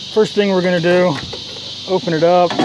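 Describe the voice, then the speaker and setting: Dry sound with no echo, over loud background noise. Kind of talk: tutorial. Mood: casual, joking. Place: open country. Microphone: phone near.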